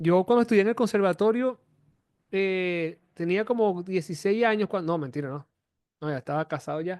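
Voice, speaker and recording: This man talks at a fairly quick pace in a high pitch, with ordinary pitch variation. The sound is dry and close, with no echo. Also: quiet background. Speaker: music teacher. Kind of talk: online class.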